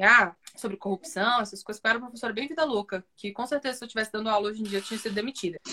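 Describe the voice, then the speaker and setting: A woman with a fairly high pitch and a bright, sharp tone is heard in a dry, close recording with no echo. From Brazil, Brasília outskirts (Ceilândia, Taguatinga). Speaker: comedian. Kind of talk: casual chat.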